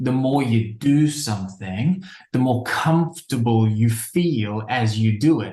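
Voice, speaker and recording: In an Australian accent, a man speaks with a dark, mellow, somewhat breathy tone and ordinary pitch variation. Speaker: behavior change expert, speaker. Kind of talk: interview.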